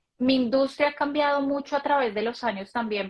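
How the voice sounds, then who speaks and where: A woman speaks with ordinary pitch variation. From Colombia. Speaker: banking manager, daughter of the host. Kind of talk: live stream conversation. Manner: halting, many fillers and restarts.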